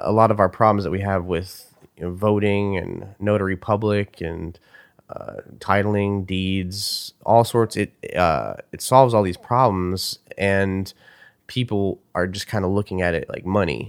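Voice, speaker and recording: Fairly slow and fairly low, a man talks with fairly even intonation in an ordinary speaking voice. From US. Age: 30s. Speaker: rapper. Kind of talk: interview. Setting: at home.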